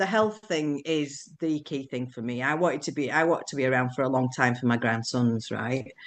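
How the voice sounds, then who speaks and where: With a Yorkshire accent, a woman speaks at a moderate pace with a very deep, low pitch, ordinary pitch variation and hardly any pauses against a quiet background. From Yorkshire, northern England. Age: 60s. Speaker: businesswoman sharing weight-loss experience. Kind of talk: live Q&A interview. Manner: hesitant, many repetitions.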